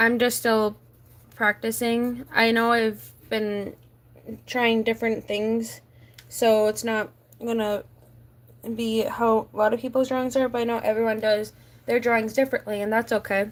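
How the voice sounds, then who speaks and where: With monotone, flat intonation, a woman at a fairly high pitch speaks at a moderate pace, leaving long, frequent pauses. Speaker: streamer. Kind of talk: casual livestream chat while drawing. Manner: halting, self-correcting.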